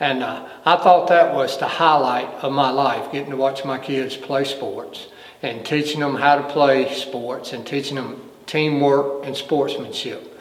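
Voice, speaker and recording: A man's fairly high, monotone, flat voice amid audible room echo and noticeable background noise. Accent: Southern US. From North Carolina, Brown Summit near Greensboro. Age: 60s. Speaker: retired fire battalion chief. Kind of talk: oral history interview. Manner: halting, with repetitions.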